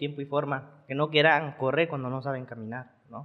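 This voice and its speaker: A man with an unremarkable speaking voice, fairly high in pitch, at a fairly slow pace. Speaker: bodybuilder and nutritionist. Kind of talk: casual interview. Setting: studio.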